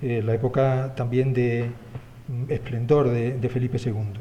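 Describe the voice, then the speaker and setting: In a room with audible echo, a man talks at a moderate pace in a medium pitch, his intonation monotone and flat. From Spain. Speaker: historian. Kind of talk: conference talk. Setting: symposium with audience. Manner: hesitant, many fillers.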